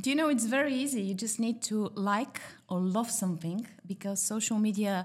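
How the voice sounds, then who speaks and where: On a very clean recording with a silent background, a woman with a Bulgarian accent speaks in a somewhat breathy voice with ordinary pitch variation. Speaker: pasta shop owner and former journalist. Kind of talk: casual podcast interview.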